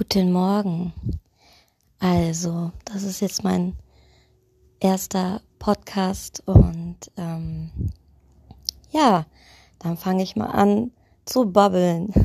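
Speaking at a very slow pace, a woman leaves long, frequent pauses. Her medium pitch shows ordinary variation, and her loudness swings widely. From eastern Germany (Saxony). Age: 30s. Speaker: podcaster, care worker. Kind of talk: casual monologue. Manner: hesitant, many fillers.

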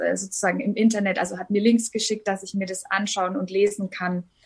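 A woman's voice sits at a medium pitch and sounds somewhat breathy. Her intonation is monotone and flat. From Upper Franconia, Bavaria (Hof). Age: 30s. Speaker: singer and blogger with lupus. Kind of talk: interview.

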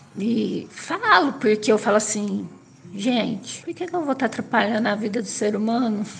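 Her fairly high voice moves at a moderate speed with normal pitch variation, while noticeable background noise runs behind it. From interior of São Paulo state, Brazil. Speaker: person with Parkinson's. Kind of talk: personal testimony. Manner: halting.

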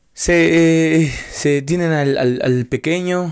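The sound is dry and close, with no echo, as a man speaks at a very slow pace. His pitch is fairly high, with ordinary variation. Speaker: podcaster. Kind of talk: casual monologue. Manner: rambling, hesitant with repetitions.

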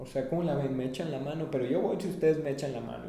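A man at medium pitch and a very fast pace, with audible room echo and noticeable background noise. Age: 30s. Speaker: activist and entrepreneur. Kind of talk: interview.

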